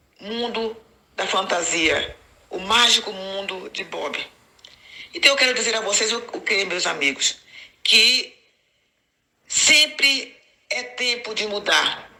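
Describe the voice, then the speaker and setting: Very slow and broken by long, frequent pauses, a woman's fairly high-pitched voice carries lively intonation. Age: 60s. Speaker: ex-Jehovah's Witness YouTuber. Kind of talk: personal testimony to camera.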